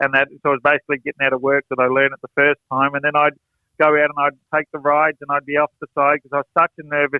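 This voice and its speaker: This man speaks very fast in a fairly high pitch, his intonation flat and monotone. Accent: Australian. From Australia. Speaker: horse trainer and performer. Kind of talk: interview storytelling.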